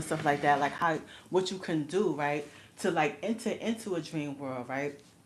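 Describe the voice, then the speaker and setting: A woman with a New York accent, at a moderate pace. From New York City. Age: 40s. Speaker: livestreamer. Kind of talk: casual chat. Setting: livestream. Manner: casual, filler-heavy.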